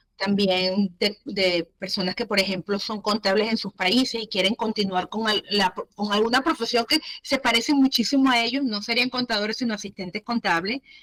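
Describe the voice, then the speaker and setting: A woman with a Venezuelan accent, fairly high in pitch with ordinary variation, at a moderate pace, in a dry, close sound with no echo. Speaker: entrepreneur, business owner. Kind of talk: interview.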